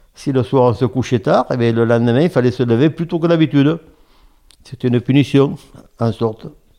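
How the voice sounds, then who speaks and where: A man with a dark, mellow tone speaks at a fairly quick pace, yet leaves long, frequent pauses. His pitch varies in an ordinary way, his loudness stays very even, and the background is quiet. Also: medium pitch for a man. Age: 70s. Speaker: retired oyster farmer. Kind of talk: interview. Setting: at home. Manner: halting.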